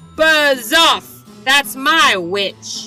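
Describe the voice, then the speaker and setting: A put-on character voice comes out high-pitched, shrill, croaky and growling. Faint music plays in the background. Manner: harsh, menacing.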